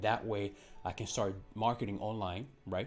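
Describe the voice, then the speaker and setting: A man speaks with a non-native accent. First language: not English. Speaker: digital marketing coach, channel owner. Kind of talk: tutorial. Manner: casual, filler-heavy with frequent ums.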